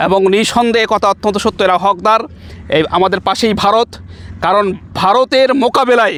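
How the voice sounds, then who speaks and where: High in pitch, a man speaks with very even loudness and fairly even intonation, in a dry, close sound with no echo. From Bangladesh, Nilphamari (northern Bangladesh). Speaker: Islamic scholar and madrasa principal. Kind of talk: public appeal to camera. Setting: outdoors on site.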